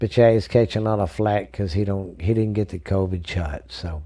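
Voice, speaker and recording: A man with an American accent speaks at a moderate pace in a fairly low, dark and mellow voice, somewhat breathy with lively intonation, on a very clean recording with a silent background. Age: 40s. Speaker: sports podcast host. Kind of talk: casual solo sports podcast. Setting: home studio. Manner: animated.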